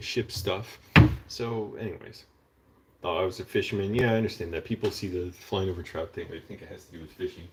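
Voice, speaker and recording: A man with an American accent talks at a fairly quick pace in a fairly low, somewhat breathy voice. His pitch varies in an ordinary way. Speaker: vlogger and screenwriter. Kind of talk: casual live vlog monologue. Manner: rambling, conversational.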